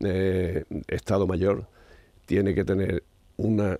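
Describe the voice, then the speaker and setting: In a very clean recording with a silent background, a man talks in a very deep, low pitch. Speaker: science commentator, professor. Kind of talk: casual radio chat.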